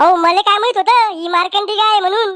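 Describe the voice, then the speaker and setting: Squeaky and extremely high-pitched, a woman performs a cartoonish character voice at a fairly quick pace. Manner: wheedling, persuasive.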